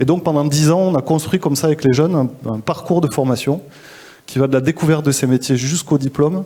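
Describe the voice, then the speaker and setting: Speaking at a fairly quick pace with a Toulouse accent, a man has a fairly high pitch, a dark, mellow tone and ordinary pitch variation. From southwestern France, Toulouse. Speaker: social entrepreneur, school founder. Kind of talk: interview at a live forum. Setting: live event. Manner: hesitant, many fillers.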